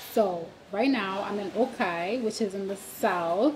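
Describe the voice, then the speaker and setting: A woman at a very slow pace, with ordinary pitch variation and light background noise. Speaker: vlogger on a work trip. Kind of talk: casual vlog chat. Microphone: phone near.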